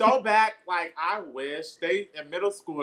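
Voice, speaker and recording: A man at a moderate pace, his tone bright and sharp. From Bronx, New York. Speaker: poet. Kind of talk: casual chat.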